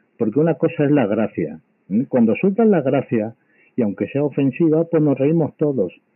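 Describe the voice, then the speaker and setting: With a Spanish accent, a man speaks at a moderate pace and a fairly high pitch. His pitch swings very widely while his loudness stays very even. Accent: Peninsular Spanish. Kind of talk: casual chat. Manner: angry, insulting.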